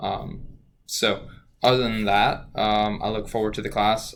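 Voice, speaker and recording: Audible room echo surrounds a man speaking at a fairly slow pace with a fairly low pitch. His intonation is monotone and flat. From Louisiana, Cajun area near Lafayette. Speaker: student. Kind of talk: self-introduction for a class. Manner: hesitant, many fillers.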